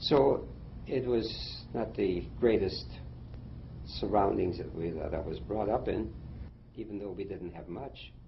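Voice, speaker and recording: With audible room echo, a man speaks fairly slowly, his fairly low voice showing vocal fry and lively intonation. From Germany, then Shanghai, China. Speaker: war veteran. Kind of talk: interview. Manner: halting.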